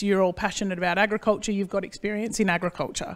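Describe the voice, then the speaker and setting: A woman with an Australian accent speaks at a medium pitch in an animated tone. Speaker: agricultural consultant and speaker. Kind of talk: conference presentation. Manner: fast.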